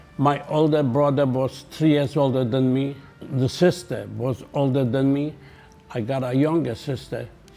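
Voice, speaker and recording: A man's medium-pitched voice at a fairly slow pace, fairly even in intonation, with music in the background. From Poland. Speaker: Holocaust survivor. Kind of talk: testimony.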